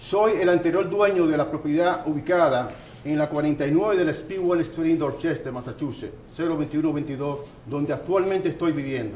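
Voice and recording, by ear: A man speaks fast with few pauses, his fairly high voice slightly mellow in tone and ordinary in pitch variation, with audible room echo around him.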